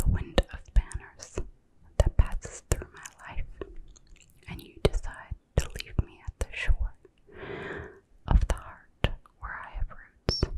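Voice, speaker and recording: A woman whispers at a fairly slow pace, with long, frequent pauses. Her loudness swings widely, and the sound is dry and close with no echo. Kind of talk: poetry reading. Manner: soft-spoken, whispering.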